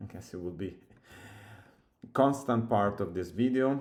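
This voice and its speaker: The speaker talks in an Italian accent. Audible room echo surrounds the voice. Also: man. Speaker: software developer. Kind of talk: coding tutorial. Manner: halting, thinking aloud.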